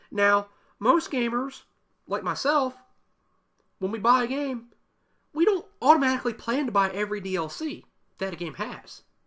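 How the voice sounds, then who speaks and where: A man speaks in a raised, projected voice at an extremely high pitch, with a bright, sharp tone. His moderate pace is broken by long, frequent pauses, and his intonation is lively. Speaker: gaming YouTuber. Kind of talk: solo rant video.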